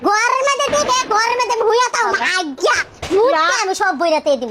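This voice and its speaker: A woman puts on a character voice with extremely high pitch and very wide pitch swings. She talks at a fairly quick pace over loud background noise. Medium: short film. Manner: shouting, combative.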